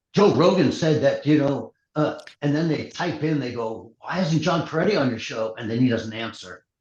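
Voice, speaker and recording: A man with a New York accent, fairly high-pitched and somewhat breathy, with lively intonation at a moderate pace. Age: 60s. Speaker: MMA matchmaker. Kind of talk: interview. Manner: blunt, halting with repetitions.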